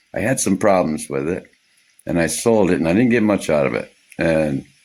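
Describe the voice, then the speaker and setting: A man's very deep, low voice with vocal fry, lively intonation and a moderate pace. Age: 60s. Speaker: off-grid homesteader vlogger. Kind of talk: casual vlog monologue. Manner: rambling with fillers and repetitions.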